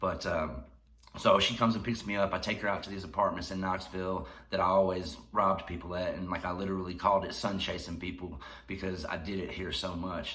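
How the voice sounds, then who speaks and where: With a Tennessee accent, this man talks at a fairly quick pace in a very deep, low pitch, his bright, sharp tone carrying audible room echo. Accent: Southern US (Tennessee). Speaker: YouTuber telling life stories. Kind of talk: casual storytelling vlog. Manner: fast; laughing while talking.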